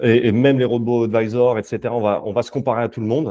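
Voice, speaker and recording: A man's dark, mellow voice at a medium pitch, dry and close with no echo, over a quiet background. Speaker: investment company sales and development lead. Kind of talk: webinar presentation. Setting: online webinar. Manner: hesitant, many fillers.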